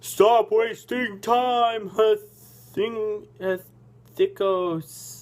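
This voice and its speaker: In a put-on, gruff character voice, the speaker drags along at a very slow pace with fairly even intonation. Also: man, high pitch for a man. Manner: impatient, commanding.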